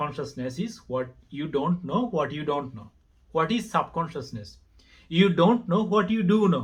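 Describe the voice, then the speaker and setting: Against a quiet background, a speaker with a non-native accent talks at a fairly slow pace with lively intonation. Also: man, high pitch for a man. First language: not English. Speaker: religion vlogger. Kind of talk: monologue to camera, video response. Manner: halting.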